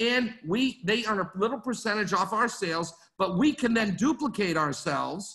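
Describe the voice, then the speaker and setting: A bright, sharp voice, raised and projected, at a moderate pace. The pitch moves in an ordinary way over a quiet background. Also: man. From Maine, US (Portland); Maine. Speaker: network marketing executive; presenter. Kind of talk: business training talk. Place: home room. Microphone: webcam.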